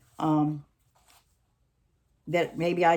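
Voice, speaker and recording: Speaking at a very slow pace, a woman keeps her intonation monotone and flat. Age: 60s. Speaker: retiree interviewed for a class assignment. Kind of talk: interview answers. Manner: halting.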